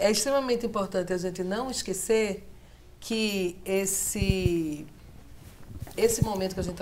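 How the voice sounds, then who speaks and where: The speech comes at a fairly slow pace in a Pernambuco accent. There is audible room echo and noticeable background noise. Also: woman. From Pernambuco, Brazil. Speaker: sociologist, professor. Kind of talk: TV political debate.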